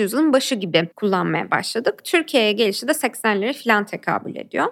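Lively intonation marks this woman's speech, delivered at a moderate pace. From Turkey, Ankara. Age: 20s. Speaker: activist and human rights lawyer. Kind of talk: interview.

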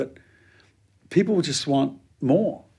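With a New Zealand accent, a man speaks at a fairly high pitch with ordinary pitch variation and a dark, mellow tone. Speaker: pastor. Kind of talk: interview.

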